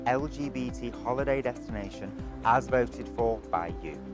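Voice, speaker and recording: A man is speaking. Music plays in the background. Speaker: TV presenter. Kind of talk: TV news and travel presenting.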